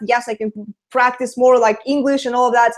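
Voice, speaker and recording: A woman speaks with a Russian accent. Her pitch is high. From Latvia. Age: 20s. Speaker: online marketer. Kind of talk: interview. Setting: video call.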